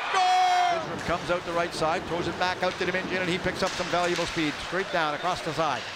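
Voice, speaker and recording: Excited and animated, a man with a high pitch races at a very fast pace with hardly any pauses over noticeable background noise. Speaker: hockey play-by-play announcer. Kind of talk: live commentary. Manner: fast, excited play-by-play calling; animated, with punchy goal calls.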